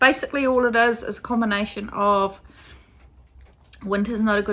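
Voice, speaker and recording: The very clean recording, with a silent background, captures a woman with a New Zealand accent whose bright, sharp tone has fairly even intonation. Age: 40s. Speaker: crafting podcaster. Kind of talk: casual vlog chat. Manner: casual, hesitant with fillers.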